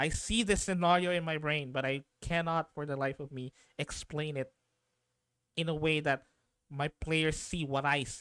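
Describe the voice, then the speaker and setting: A man's fairly high voice at a moderate pace, fairly even in intonation, with a dry, close sound and no echo. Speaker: streamer and game master. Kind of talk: casual chat. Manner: halting.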